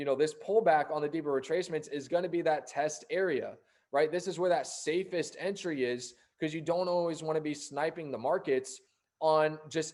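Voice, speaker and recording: A man's fairly high-pitched voice with fairly even intonation, in a very clean recording with a silent background. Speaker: forex trading educator. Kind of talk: tutorial. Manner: fast.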